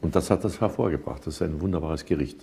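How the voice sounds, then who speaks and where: The tone is dark and mellow, somewhat breathy. Pitch varies in an ordinary way. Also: man. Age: 70s. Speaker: composer, singer, entertainer. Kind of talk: interview answer. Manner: thoughtful, humorous. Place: cafe. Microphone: lapel.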